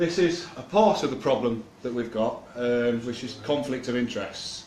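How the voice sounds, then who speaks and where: Moderate-paced speech from a man in an East Midlands accent, medium in pitch with ordinary pitch variation, over noticeable background noise. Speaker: activist speaker. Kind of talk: public talk. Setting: room with live audience, no mic. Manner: loud; halting.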